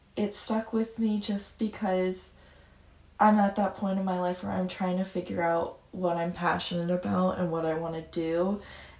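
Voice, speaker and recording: A woman at medium pitch, moderate pace, with monotone, flat intonation. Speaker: forestry student, book club guest. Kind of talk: casual book discussion.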